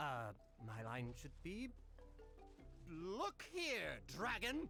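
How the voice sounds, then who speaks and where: A man in a put-on character voice at a very slow pace, with clear music in the background. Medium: video game.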